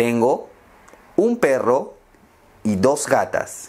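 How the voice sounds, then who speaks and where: The speaker is a man. He talks very slowly. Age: 20s. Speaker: language teacher. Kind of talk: slow scripted speech for learners. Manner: slow, clear. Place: home room. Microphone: lapel.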